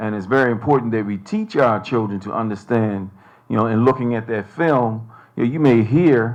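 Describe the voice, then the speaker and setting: In an American accent, a man speaks at a medium pitch and a moderate pace with ordinary pitch variation against a quiet background. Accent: sounds American, can switch to Bermudian. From Bermuda. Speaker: panelist, academic. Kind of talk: panel discussion. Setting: stage with audience.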